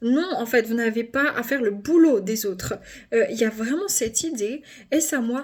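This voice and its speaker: Animated delivery at a moderate pace, with ordinary pitch variation. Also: woman. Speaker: tarot card reader. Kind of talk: card reading video. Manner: loud.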